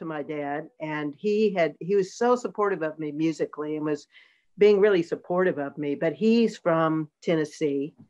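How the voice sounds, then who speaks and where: Over a quiet background, a woman with an American accent speaks at a moderate pace in a fairly low pitch with ordinary pitch variation. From US South, North Carolina (Durham). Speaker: singer-songwriter and producer. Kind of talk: interview conversation.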